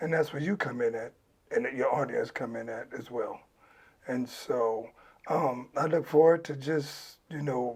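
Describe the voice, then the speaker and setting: A man with a plain, everyday voice speaks at a fairly slow pace, his fairly high pitch moving with ordinary variation. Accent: American. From Los Angeles, California. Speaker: former gang member. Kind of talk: interview.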